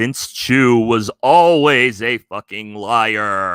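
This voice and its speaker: In a put-on character voice, a man drawls at a very slow pace with medium pitch. The recording is very clean, with a silent background. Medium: read story. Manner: spooky ghostly drawl.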